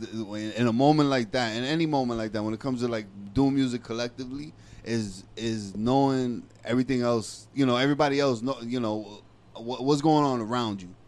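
A man speaks at a fairly quick pace with a slightly mellow tone. His pitch is medium, with ordinary variation.

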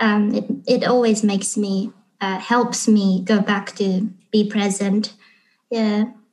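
Very slowly and somewhat breathily, a woman with a Japanese accent speaks at a medium pitch in monotone, flat intonation. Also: quiet background. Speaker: English teacher and YouTuber. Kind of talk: interview.

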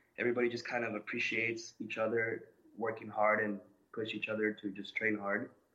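With a Spanish accent, a man speaks at a medium pitch in a bright, sharp tone. His intonation is monotone and flat. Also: fairly quick pace. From Colombia. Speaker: gym owner and coach. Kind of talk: interview.

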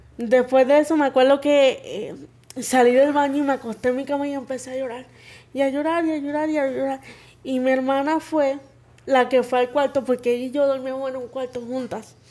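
High in pitch, a woman talks at a fairly quick pace. Her intonation is monotone and flat. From Puerto Rico. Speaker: guest sharing life story. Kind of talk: testimony.

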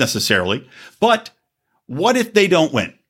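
A man with an animated tone, very wide pitch swings and vocal fry. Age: 40s. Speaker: podcast host. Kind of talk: casual monologue.

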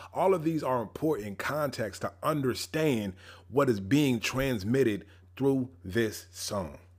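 A man speaks at a fairly slow pace with a medium pitch and lively intonation, his tone animated. The recording is very clean, with a silent background. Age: 30s. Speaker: pastor and podcast host. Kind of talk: podcast monologue on Bible interpretation. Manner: casual, animated.

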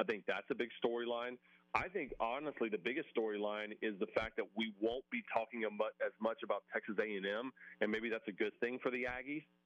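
Here is a man with an unremarkable speaking voice at medium pitch. His pitch varies in an ordinary way, and his pace is moderate. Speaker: college football TV host and analyst. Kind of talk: radio interview.

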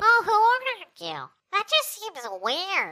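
A put-on, squeaky character voice at an extremely high pitch, delivered at a fairly slow pace. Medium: actual play. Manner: folksy, friendly, nosy.

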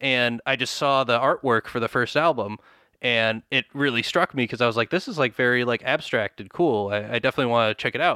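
A man with an American accent, medium pitch and a bright, sharp tone, at a fairly quick pace, dry and close with no echo. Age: 20s. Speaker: rock musician. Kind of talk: casual interview chat. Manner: animated, fast, many fillers.

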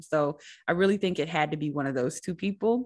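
Against a quiet background, a woman with a very deep, low pitch speaks at a fairly quick pace in an enthusiastic tone with lively intonation. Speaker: podcast host. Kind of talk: casual interview chat. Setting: video call. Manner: enthusiastic, laughs often.

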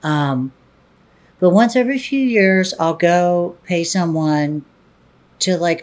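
A woman's plain, everyday voice, fairly low in pitch with lively intonation, in a very clean recording with a silent background. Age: 40s. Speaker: adult film performer and director. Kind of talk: interview.

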